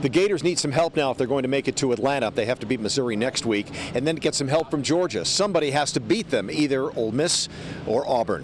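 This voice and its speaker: Over noticeable background noise, a man with a fairly high voice speaks at a very fast pace with lively intonation. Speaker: TV sports reporter. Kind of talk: field report sign-off.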